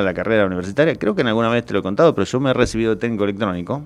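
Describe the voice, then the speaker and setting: Lively intonation in a Rioplatense accent. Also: man. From Argentina, Greater Buenos Aires (La Matanza). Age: 50s. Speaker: public administration expert. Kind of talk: interview.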